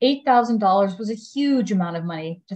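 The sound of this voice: The voice reads without strain. Its intonation is lively.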